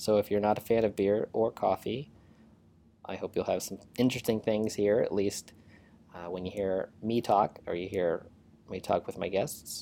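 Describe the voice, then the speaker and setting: Fairly even intonation and a dark, mellow tone mark this man's fairly low-pitched voice. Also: moderate pace. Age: 30s. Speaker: podcast host. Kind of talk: solo podcast introduction monologue.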